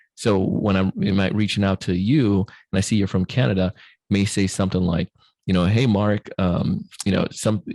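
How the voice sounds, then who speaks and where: A man with a fairly low pitch and a dark, mellow tone speaks at very even loudness, with a dry, close sound and no echo. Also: fairly even intonation, moderate pace. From Jamaica. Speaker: sales trainer and podcast host. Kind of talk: podcast interview. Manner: hesitant, many fillers.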